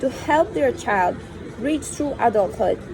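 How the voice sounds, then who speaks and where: A woman with a non-native accent speaks at a moderate pace with lively intonation, with audible room echo and noticeable background noise. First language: not English. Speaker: reader of spiritual texts. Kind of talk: reading aloud.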